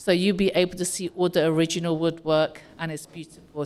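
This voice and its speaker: A woman with a British accent and a fairly low pitch. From UK. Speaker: community organization president. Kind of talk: welcome speech. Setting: community hall with audience.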